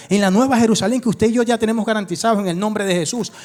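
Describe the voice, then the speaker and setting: The man's pitch is high, with ordinary variation. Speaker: pastor. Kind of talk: sermon. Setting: church. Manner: fast.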